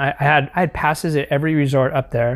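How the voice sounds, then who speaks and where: A man with an American accent, fairly high pitch, fairly quick pace, and fairly even intonation. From Northern California (East Bay). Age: 50s. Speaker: surf industry veteran. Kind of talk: casual chat. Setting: studio.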